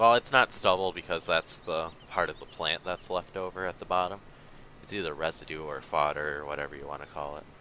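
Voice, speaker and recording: Big swings in loudness mark this man's very deep, low voice. He moves at a fairly quick pace with ordinary pitch variation. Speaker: gaming livestreamer. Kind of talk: casual livestream commentary. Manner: casual, hesitant with fillers.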